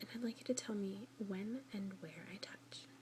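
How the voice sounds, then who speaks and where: A woman whispers in a soft-spoken way. Noticeable background noise can be heard. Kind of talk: ASMR doctor roleplay. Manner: soft-spoken, whispering, relaxing.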